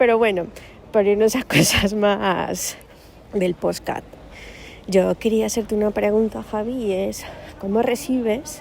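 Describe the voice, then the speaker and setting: Noticeable background noise sits behind a woman of medium pitch. Her intonation is fairly even, with long, frequent pauses. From Cali, Colombia. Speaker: sales department employee. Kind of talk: recorded question message.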